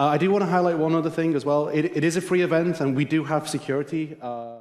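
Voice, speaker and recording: Talking at a very fast pace, a man keeps his fairly high voice on a fairly even line. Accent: British. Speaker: conference host. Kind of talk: conference announcements. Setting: stage with audience.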